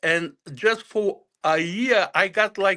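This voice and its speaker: A man's raised, projected voice, high in pitch, in a Bulgarian accent, with ordinary pitch variation and a very slow pace. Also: quiet background. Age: 60s. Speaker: author. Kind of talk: interview. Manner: halting.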